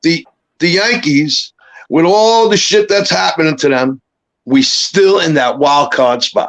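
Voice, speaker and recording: A man with a New York accent speaks in a high voice with lively intonation. His pace is fairly slow and his loudness very even. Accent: heavy New York. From New York, Brooklyn. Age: 60s. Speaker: caller. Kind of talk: casual chat.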